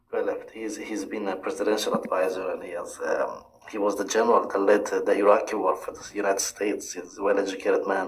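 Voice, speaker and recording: Delivered at a very fast pace in an Iranian accent, the speech carries audible room echo and noticeable background noise. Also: man. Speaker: caller on a livestream. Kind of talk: heated debate. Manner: halting.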